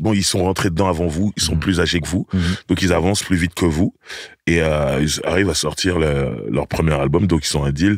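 Over a quiet background, a man talks at a moderate pace with very even loudness and a dry sound with no echo. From Paris region, France; France. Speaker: podcast host. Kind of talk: casual chat. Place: studio. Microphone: studio mic.

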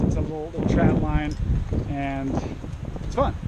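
Behind the speaker there is loud background noise. He is a man talking at a moderate pace. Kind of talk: tutorial. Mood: relaxed, upbeat. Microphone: phone near.

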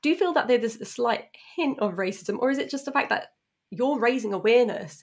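The speaker talks fairly quickly with a British accent and lively intonation. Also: woman, high pitch for a woman. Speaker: podcast host. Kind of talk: casual interview chat. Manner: excitable.

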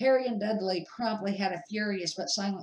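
Natural-voiced reading aloud

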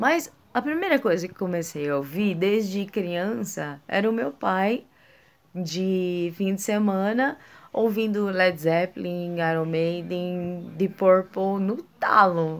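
A woman of medium pitch speaks at a very slow pace with ordinary pitch variation. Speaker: music vlogger. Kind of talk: casual vlog monologue.

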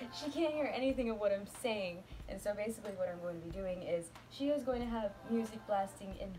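Noticeable background noise sits behind a woman speaking at a moderate pace. Her pitch is medium and her intonation lively. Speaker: YouTube vlogger. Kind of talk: casual talk to camera. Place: home room. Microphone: webcam.

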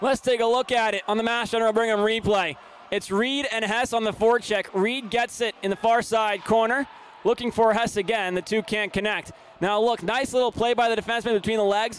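At a fairly quick pace, a man speaks in a high voice with fairly even intonation against noticeable background noise. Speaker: hockey play-by-play announcer. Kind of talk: live sports commentary.

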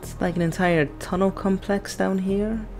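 Soft-spoken and fairly low-pitched, a woman talks at a fairly slow pace over music in the background. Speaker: let's play gamer. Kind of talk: reading game dialogue aloud.

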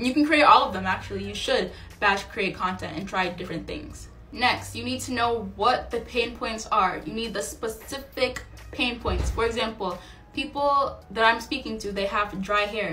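Music plays behind a woman whose fairly high voice shows ordinary pitch variation. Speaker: small business owner and online educator. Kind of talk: tutorial. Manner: fast talker. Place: home room. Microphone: phone near.

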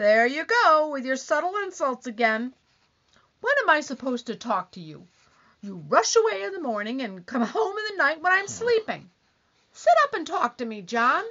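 She talks at a moderate pace in a high pitch, and her pitch swings very widely. Her loudness also rises and falls in big swings. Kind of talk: 1940s radio comedy acting. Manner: complaining, whiny, accusing.

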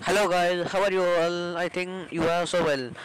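Over noticeable background noise, a man talks at a fairly quick pace with a high pitch. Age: young. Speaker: commerce student. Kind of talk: self-introduction to camera.

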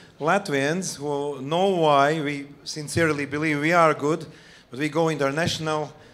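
The voice belongs to a man. He talks at a moderate pace. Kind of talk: conference speech. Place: stage. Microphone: handheld.

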